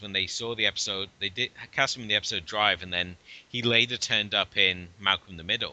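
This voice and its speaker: In a British accent, a man talks at a fairly quick pace with a fairly low pitch and a bright, sharp tone. The sound is dry and close with no echo, over a quiet background. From UK. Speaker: podcast co-host. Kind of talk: casual chat.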